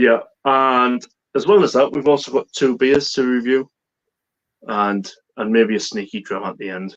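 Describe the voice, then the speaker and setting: A man at medium pitch with a Teesside accent, ordinary pitch variation, big swings in loudness, and long, frequent pauses. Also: moderate pace. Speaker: whisky and beer YouTuber. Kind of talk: casual chat. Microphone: bad internet connection, cutting out.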